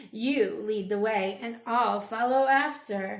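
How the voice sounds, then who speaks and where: Putting on a character voice, a woman speaks at a fairly high pitch and a fairly slow pace. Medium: read story.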